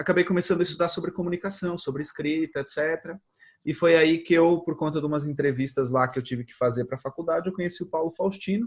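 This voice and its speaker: A man at a very fast pace, fairly high in pitch with ordinary pitch variation, on a very clean recording with a silent background. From Portugal. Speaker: social media advertising expert. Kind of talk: interview.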